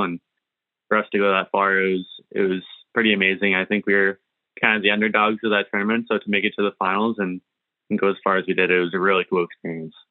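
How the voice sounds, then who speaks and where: Very fast and in a monotone, flat intonation, a man speaks at a fairly low pitch. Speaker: junior hockey goalie. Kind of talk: interview.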